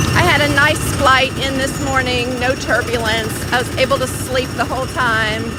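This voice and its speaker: An animated woman at a moderate pace with hardly any pauses, in audible room echo and noticeable background noise. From Kentucky. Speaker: live streamer / theme park vlogger. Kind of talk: casual live stream chat. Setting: outdoors at theme park.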